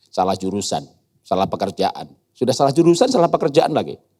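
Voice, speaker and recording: With an animated tone, this man delivers his words fairly quickly. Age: 60s. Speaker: guest speaker, educator. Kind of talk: sermon. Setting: church youth service hall.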